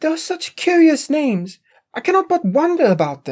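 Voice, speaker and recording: This is a put-on character voice, squeaky and high in pitch. It moves at a moderate pace. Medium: read story. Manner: gentle, polite.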